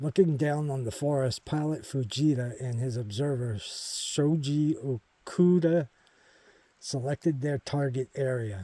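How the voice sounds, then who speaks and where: A man with a fairly high pitch, a dark, mellow tone and a somewhat breathy quality speaks at a fairly slow pace with ordinary pitch variation, in a dry, close sound with no echo. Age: 50s. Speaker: hiking vlogger. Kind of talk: outdoor walking vlog narration. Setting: outdoors on a forest trail. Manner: casual, conversational.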